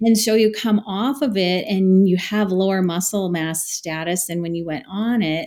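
With an ordinary speaking voice, a woman talks at a moderate pace using fairly even intonation. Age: 40s. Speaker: dietitian. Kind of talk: interview.

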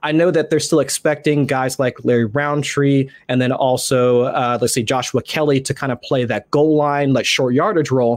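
A man talks in a plain, everyday voice at a fairly high pitch with fairly even intonation. His pace is moderate, with hardly any pauses. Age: 30s. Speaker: fantasy football writer. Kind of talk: casual chat.

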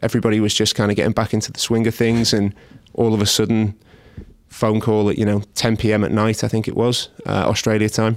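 With a Scouse accent, a man speaks fairly quickly in a fairly low, monotone, flat voice. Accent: Scouse (Liverpool) English. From Liverpool, England. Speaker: head of trading at a broker. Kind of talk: interview. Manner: halting, many fillers.

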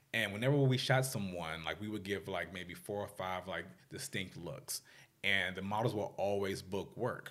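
A man with an American accent in an unremarkable speaking voice, fairly low in pitch, at a moderate pace with ordinary pitch variation. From Washington DC area, US. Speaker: fashion stylist. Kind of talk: interview.

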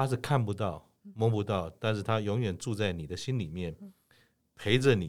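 With a normal speaking voice, a man speaks at a moderate pace and a fairly low pitch with ordinary pitch variation, in a very clean recording over a silent background. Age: 60s. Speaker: podcast host. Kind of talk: interview.

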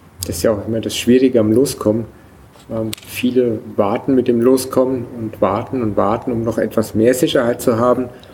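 A man with a medium pitch and fairly even intonation speaks over noticeable background noise. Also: moderate pace. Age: 40s. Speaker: traveler starting a family world trip. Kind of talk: casual interview. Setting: event at a museum summer festival. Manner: hesitant, many filler sounds.

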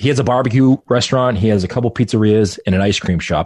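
Very fast delivery with lively intonation. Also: man, quiet background. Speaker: restaurant marketing podcaster. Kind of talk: casual interview chat.

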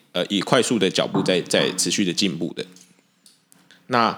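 A man speaks at a fairly quick pace with a Taiwanese accent and a fairly low pitch. The recording is very clean, with a silent background. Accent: Taiwanese Mandarin. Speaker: podcast co-host. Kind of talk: casual chat. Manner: halting.

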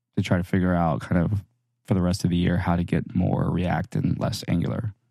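A dark, mellow tone with fairly even intonation at a moderate pace, in a very clean recording with a silent background. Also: man. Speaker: podcast co-host, software developer. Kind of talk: casual banter, tech podcast. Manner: joking, sarcastic.

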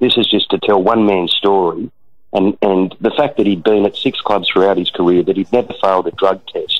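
A man speaks at a moderate pace. He has an Australian accent. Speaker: rugby league journalist. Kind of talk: radio interview. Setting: at the ground during a match.

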